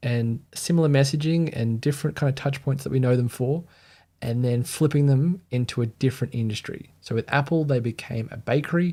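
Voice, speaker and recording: A somewhat breathy, dark and mellow voice with an Australian accent at a fairly quick pace, in a very clean recording over a silent background. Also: man. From Australia (Sydney). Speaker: brand identity designer. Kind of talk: livestream commentary. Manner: casual, conversational.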